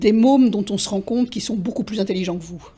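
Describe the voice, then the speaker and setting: The tone is dark and mellow, with a somewhat breathy quality. Pitch moves in an ordinary way. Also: woman. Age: 60s. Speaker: retired English teacher and literary interpreter. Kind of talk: interview monologue. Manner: hesitant, many fillers and repetitions.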